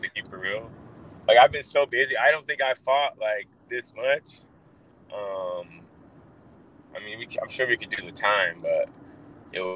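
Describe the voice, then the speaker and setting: A man speaks at a fairly slow pace with long, frequent pauses and big swings in loudness. The sound is dry and close with no echo, though noticeable background noise is present. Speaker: UFC fighter. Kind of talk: casual interview. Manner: casual, animated.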